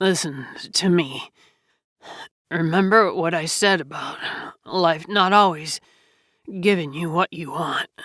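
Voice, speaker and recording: A raspy, put-on character voice at a middle pitch. It moves at a fairly slow pace with long, frequent pauses. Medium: read story. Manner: gentle, reassuring.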